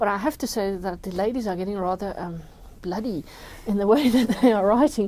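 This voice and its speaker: In a South African accent, a woman speaks at medium pitch and a fairly quick pace. Her tone is dark and mellow, with ordinary pitch variation. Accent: Afrikaans South African English. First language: Afrikaans. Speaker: journalist and crime novelist. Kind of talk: interview. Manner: halting, with fillers and repetitions.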